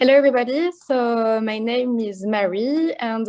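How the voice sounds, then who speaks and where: A woman's fairly high voice in a strong French accent, with ordinary pitch variation. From France. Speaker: chocolate company marketing manager. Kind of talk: online presentation. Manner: hesitant, many fillers.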